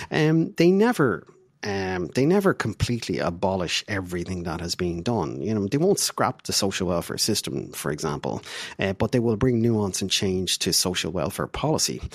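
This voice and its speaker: A man with an Irish accent speaks at a moderate pace in a fairly low voice. His pitch swings very widely. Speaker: diplomat. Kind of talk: interview.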